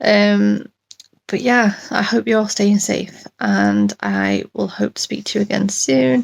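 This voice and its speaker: A woman with a British accent, at a fairly slow pace, in a dry, close sound with no echo. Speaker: chronic illness vlogger. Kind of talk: casual vlog update. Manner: hesitant, many ums.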